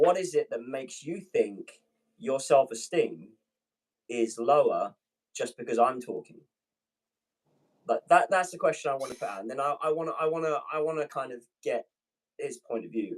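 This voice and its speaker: With a British accent, a man talks at a moderate pace. His loudness swings widely, and he takes long, frequent pauses. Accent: British accent, called dope by viewers. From Britain. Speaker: pilot, manifesting guest. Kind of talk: casual live-stream chat. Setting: live stream.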